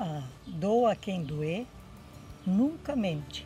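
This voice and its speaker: A woman's voice carries vocal fry and very wide pitch swings. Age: 60s. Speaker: interviewee, elderly sister. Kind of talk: interview testimony.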